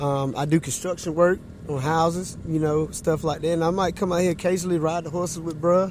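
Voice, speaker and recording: Speaking with a North Carolina accent, a man talks at a fairly quick pace in a fairly high pitch. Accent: Southern US, North Carolina. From eastern North Carolina, US South. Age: 30s. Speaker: barber and horseman. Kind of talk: casual chat. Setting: podcast interview.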